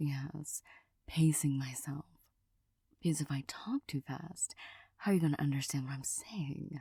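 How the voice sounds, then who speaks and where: Soft-spoken and somewhat breathy, a woman speaks at a fairly slow pace in a very deep, low, dark and mellow voice with fairly even intonation and long, frequent pauses, recorded with a dry, close sound and no echo. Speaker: ASMR creator. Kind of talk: soft-spoken ASMR ramble.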